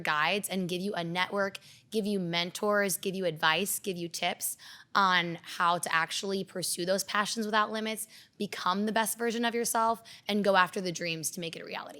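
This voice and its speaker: A woman with a medium-pitched, bright and sharp voice speaks at a moderate pace in an animated tone with ordinary pitch variation, on a very clean recording with a silent background. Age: 20s. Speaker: podcast co-host, entrepreneur. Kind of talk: casual podcast chat.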